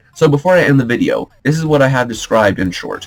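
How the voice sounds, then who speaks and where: Music in the background and a man's lively intonation. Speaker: gaming theory youtuber. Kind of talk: video essay commentary.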